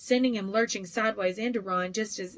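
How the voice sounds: The clip features a natural reading voice. The passage is read aloud.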